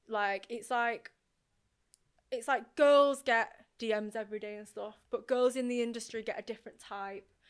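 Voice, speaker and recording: A woman with a Northern English accent speaks at a fairly high pitch and moderate pace. Her intonation is fairly even, though her loudness swings widely. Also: very clean recording, silent background. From northern England, Oldham. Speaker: radio presenter. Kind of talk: casual chat.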